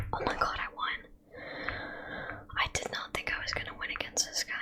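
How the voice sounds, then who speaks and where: Whispering against noticeable background noise. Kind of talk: casual ASMR gaming commentary. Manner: annoyed, rambling, reactive to gameplay.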